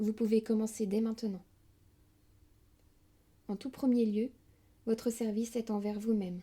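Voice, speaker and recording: Somewhat breathy, a woman with a fairly high pitch and a dark, mellow tone speaks at a moderate pace in a monotone, flat intonation. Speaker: spiritual audiobook reader. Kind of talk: spiritual lecture reading. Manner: whispered, soft.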